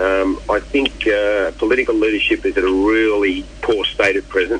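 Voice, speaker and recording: Over noticeable background noise, a man speaks at a very even loudness. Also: moderate pace. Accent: Australian. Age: 60s. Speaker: charity event chairperson. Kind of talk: radio interview. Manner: halting, many fillers and repeats.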